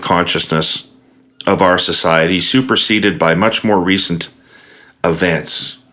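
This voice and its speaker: Bright and sharp in tone, a man talks at a fairly slow pace. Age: 60s. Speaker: podcast host. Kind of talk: interview.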